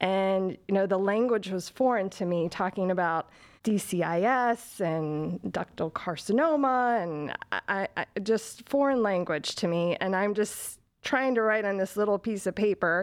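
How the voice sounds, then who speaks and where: An ordinary speaking voice from a woman at medium pitch, fairly slow, with ordinary pitch variation against a quiet background. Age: 40s. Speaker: breast cancer survivor. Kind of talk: interview.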